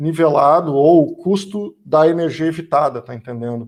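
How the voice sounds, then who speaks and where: A man talks at a moderate pace in a normal speaking voice with ordinary pitch variation, and the recording is very clean with a silent background. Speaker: energy sector speaker. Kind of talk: lecture.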